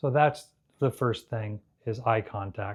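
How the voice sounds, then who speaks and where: Over a quiet background, a man talks at a moderate pace in an ordinary speaking voice, keeping a medium pitch and fairly even intonation. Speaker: hearing care provider. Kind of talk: tutorial. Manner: clearly enunciated.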